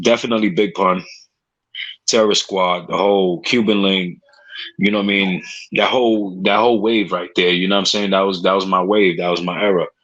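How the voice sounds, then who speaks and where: The intonation is monotone and flat. The speech comes in a New York accent. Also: man, fairly low pitch for a man, moderate pace. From New York City, Spanish Harlem. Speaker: podcast host. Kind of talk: casual chat.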